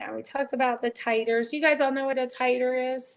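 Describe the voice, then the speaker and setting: A woman speaks with a high pitch. Her intonation is monotone and flat. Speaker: college biology instructor. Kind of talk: lecture. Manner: casual, conversational.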